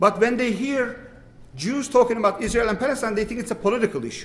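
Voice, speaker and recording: A man with a strong Turkish accent talks at a very fast pace with ordinary pitch variation. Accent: thick Turkish. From Turkey. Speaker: imam. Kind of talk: panel dialogue. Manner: halting.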